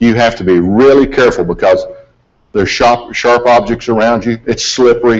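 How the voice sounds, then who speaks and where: At a moderate pace, a man speaks in a medium pitch with ordinary pitch variation and very even loudness. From US South, mountains of western North Carolina. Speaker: aviation accident investigator. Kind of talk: presentation. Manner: folksy, conversational.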